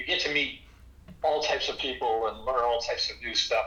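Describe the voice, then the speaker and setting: Noticeable background noise can be heard. Through it, this man speaks at a moderate pace. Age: 70s. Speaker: inventor and company founder. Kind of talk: casual chat.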